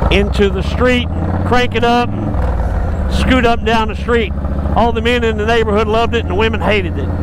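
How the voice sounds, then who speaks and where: A man with an American accent at a moderate pace, with audible room echo and noticeable background noise. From Texas. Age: 60s. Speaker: motorcycle shop owner. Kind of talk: casual ride-along storytelling. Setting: riding a motorcycle outdoors.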